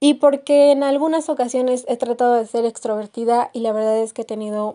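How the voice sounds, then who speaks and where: A woman with a central Mexican accent, high in pitch, dark and mellow in tone, with fairly even intonation. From Mexico, Querétaro. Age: 20s. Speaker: podcast host, university student. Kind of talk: casual monologue. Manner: halting, many fillers.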